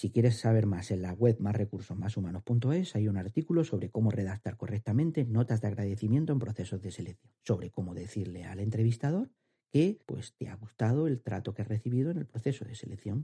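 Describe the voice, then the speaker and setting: At a fairly quick pace with hardly any pauses, a man speaks in a fairly low, somewhat breathy voice with a dark, mellow tone and ordinary pitch variation, recorded dry and close with no echo. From Andalusia, Spain. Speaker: HR podcast host, career advisor. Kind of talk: podcast monologue, advice.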